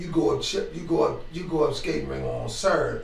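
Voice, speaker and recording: Noticeable background noise behind an American accent. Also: man. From Washington DC. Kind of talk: interview answer. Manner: casual, hesitant.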